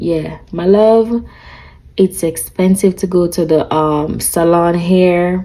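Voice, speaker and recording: Speaking at a very slow pace with a Jamaican accent, the voice shows ordinary pitch variation. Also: woman. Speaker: lifestyle vlogger. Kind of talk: casual chat. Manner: animated.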